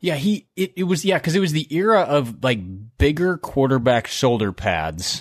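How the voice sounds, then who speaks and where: A man speaks at a moderate pace and a fairly high pitch, with very wide pitch swings. His loudness stays very even, and the sound is dry and close with no echo. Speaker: podcast host. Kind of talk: casual sports chat.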